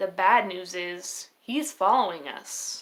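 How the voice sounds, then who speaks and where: Someone in a put-on character voice speaks at a fairly slow pace with a gentle tone. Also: woman. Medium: read story.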